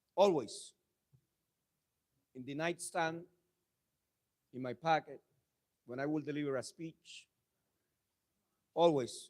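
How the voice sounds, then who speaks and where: Loudness swings widely, pitch moves in an ordinary way, long pauses come often, and the sound is dry and close with no echo. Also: man, fairly high pitch for a man. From abroad, came to Pennsylvania at sixteen. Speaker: public speaker, community leader. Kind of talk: speech to an audience. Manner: impassioned, repetitive oratory.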